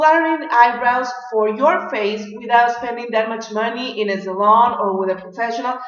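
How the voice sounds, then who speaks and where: A woman speaks at a high pitch with a Mexican accent. Audible room echo and noticeable background noise fill the recording. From Mexico. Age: 30s. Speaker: beauty vlogger. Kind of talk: tutorial.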